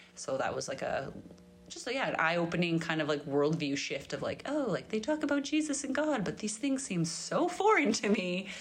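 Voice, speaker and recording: With a Canadian accent, a woman speaks at a fairly quick pace, her fairly high pitch making very wide swings, in audible room echo. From Grand Prairie, Alberta, Canada. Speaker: podcast host, church women's ministry volunteer. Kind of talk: interview as guest, casual chat.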